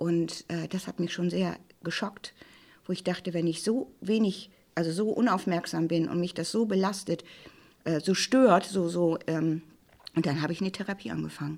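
In a plain, everyday voice, a woman talks at a moderate pace with a fairly low pitch and ordinary pitch variation. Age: 60s. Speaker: plain-language office head. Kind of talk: personal testimony on grief.

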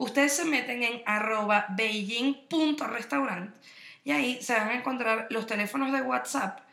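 Animated and with lively intonation, a woman speaks in a Venezuelan accent at a moderate pace amid noticeable background noise and audible room echo. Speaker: podcast co-host. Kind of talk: casual chat.

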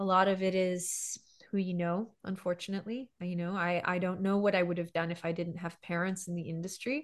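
The speaker has a Montreal accent and keeps a moderate pace. The background is quiet. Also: woman. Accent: Montreal English Canadian. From Montreal, Quebec. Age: 40s. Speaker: voice actress and voice director. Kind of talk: casual interview chat.

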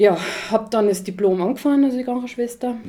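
A woman's voice with ordinary pitch variation, against noticeable background noise. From Austria, Tyrol (Achensee). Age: 20s. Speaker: social care worker and mother. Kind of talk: casual chat.

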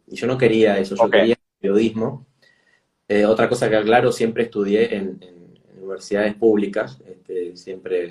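A man with a fairly low pitch speaks at a moderate pace with fairly even intonation. His loudness swings widely. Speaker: travel journalist and educator. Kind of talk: interview.

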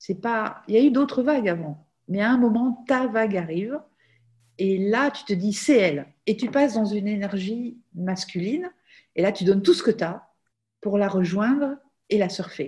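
Somewhat breathy and at medium pitch, a woman speaks at a moderate pace with lively intonation. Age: 50s. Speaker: life coach, former physician. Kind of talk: casual interview.

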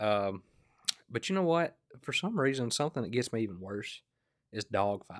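A man's voice with a Southern US accent, very wide pitch swings, and long, frequent pauses. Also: medium pitch for a man, moderate pace. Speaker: podcast host. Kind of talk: casual chat. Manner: laid-back, joking.

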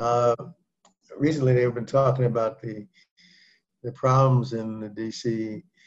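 Against a quiet background, a man speaks at medium pitch in a monotone, flat way. His voice is somewhat breathy and his pace fairly slow. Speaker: physician leading group session. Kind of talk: group discussion on health. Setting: video call.

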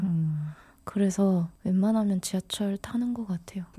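Somewhat breathy, a woman of medium pitch speaks with a dark, mellow tone and ordinary pitch variation. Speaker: podcast co-host. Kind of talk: casual chat.

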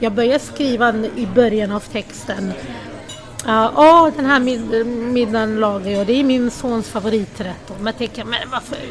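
A woman with a high pitch talks at a fairly slow pace over noticeable background noise. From Sweden, Lebanese-born. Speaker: food blogger. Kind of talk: interview.

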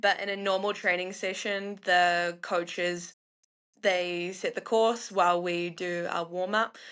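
A woman speaks with a New Zealand accent at a fairly slow pace, medium pitch, and monotone, flat intonation against a quiet background. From New Zealand, North Island. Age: 20s. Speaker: professional alpine skier. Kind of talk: casual interview.

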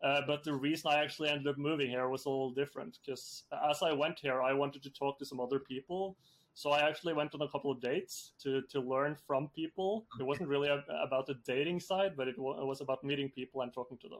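A man speaks very fast with a Norwegian accent, his fairly high voice held to a fairly even intonation. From Norway. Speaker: software entrepreneur. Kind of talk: interview.

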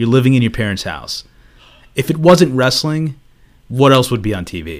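On a very clean recording with a silent background, a man speaks at a medium pitch and moderate pace, his pitch swinging very widely. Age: 30s. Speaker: podcast co-host. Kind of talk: casual chat.

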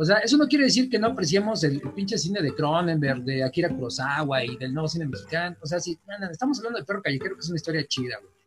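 A high-voiced man races along at a very fast pace with very wide pitch swings and hardly any pauses. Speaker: podcast co-host. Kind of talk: casual chat. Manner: halting, repeats words.

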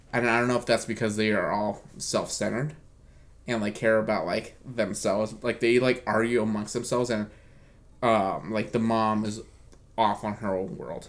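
This man talks at a medium pitch and a moderate pace in a normal speaking voice. His intonation stays fairly even. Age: 20s. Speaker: podcast host. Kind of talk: casual chat.

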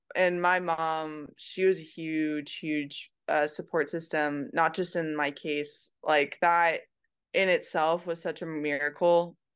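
Against a quiet background, a woman with a Californian accent speaks at a very slow pace in a monotone, flat intonation. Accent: Californian American. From California, Merced. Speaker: pro softball player. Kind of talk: interview testimony. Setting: remote call.

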